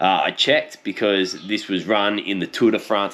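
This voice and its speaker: Relaxed in tone, a man talks at a fairly slow pace with an Australian accent. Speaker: cycling YouTuber. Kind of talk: casual commentary video. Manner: casual, relaxed.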